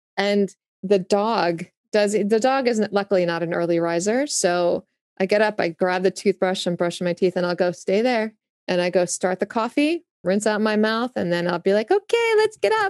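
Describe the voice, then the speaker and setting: Over a quiet background, a woman with a New Jersey accent speaks at a moderate pace and medium pitch, with ordinary pitch variation and a dry, close sound with no echo. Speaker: music tour professional. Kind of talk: casual interview chat.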